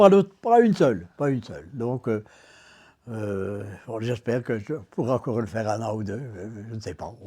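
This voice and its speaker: A man speaks at a moderate pace in a medium pitch with a dark, mellow tone, ordinary pitch variation, and big swings in loudness. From Dour, Belgium (Hainaut). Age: 80s+. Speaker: retired delivery man, local councillor, amateur actor. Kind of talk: interview answer.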